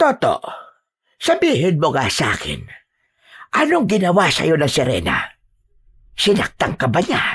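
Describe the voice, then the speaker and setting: A put-on character voice sits at a middle pitch. It moves at a moderate pace with long, frequent pauses. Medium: read story. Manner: earnest, concerned.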